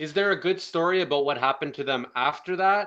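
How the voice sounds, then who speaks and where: A loud man's voice with a bright, sharp tone and ordinary pitch variation, over a quiet background. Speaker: online video commentator. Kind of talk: casual monologue. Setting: phone recording. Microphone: phone mic, no proper microphone.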